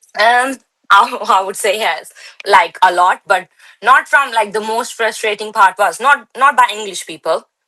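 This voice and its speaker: Speaking with an Indian accent, a woman uses a fairly high pitch and a moderate pace. Her tone is bright and sharp. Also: ordinary pitch variation. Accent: Indian, still noticeable. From India, Delhi. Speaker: bodybuilder. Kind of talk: interview.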